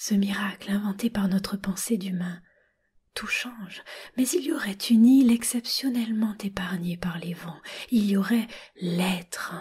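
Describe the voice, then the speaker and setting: Her pitch is medium, with ordinary pitch variation and a fairly slow pace. This woman has a normal speaking voice. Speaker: reader. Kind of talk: literary text reading.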